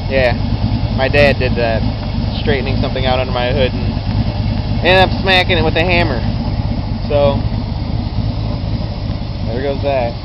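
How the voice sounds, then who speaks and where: Moderate-paced speech with long, frequent pauses, dry with no echo, under loud background noise. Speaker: car enthusiast. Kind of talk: casual talk to camera. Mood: casual, self-deprecating. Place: street. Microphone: phone near.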